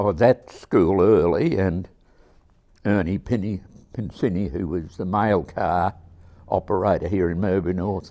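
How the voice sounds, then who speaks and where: Pausing long and often, a man with an Australian accent speaks at a fairly slow pace in a very deep, low voice with a dark, mellow tone and fairly even intonation. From South Gippsland, Victoria, Australia. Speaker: local elder. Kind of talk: oral history interview.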